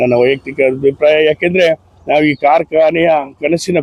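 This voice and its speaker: The man has a plain, everyday voice at a fairly high pitch, with ordinary pitch variation. The sound is dry and close, with no echo. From Bhadravati, Karnataka, India. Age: 60s. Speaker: economics professor. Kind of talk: interview testimony.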